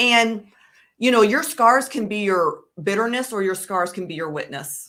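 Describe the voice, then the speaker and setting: A woman with a fairly high pitch and a bright, sharp tone speaks at a moderate pace with lively intonation and big swings in loudness. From US Midwest, Chicago. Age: 40s. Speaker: suicide prevention advocate. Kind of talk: interview testimony.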